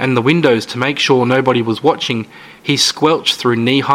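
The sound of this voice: An unforced reading voice with ordinary pitch variation comes through.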